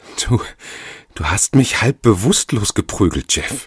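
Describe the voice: Using a put-on character voice, a man speaks at a fairly slow pace with a fairly low pitch, a husky, rough edge and lively intonation, in a dry, close sound with no echo.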